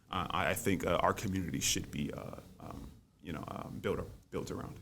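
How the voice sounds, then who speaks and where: With an American accent, a man talks at a moderate pace in a very deep, low voice with lively intonation, and audible room echo surrounds him. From US South, New Orleans. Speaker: college student and debater. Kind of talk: interview. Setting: podcast studio. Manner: halting, many fillers and repetitions.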